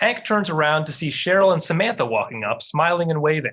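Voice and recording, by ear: Big pitch swings mark a fairly bright tone delivered at a fairly quick pace. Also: man, fairly high pitch for a man.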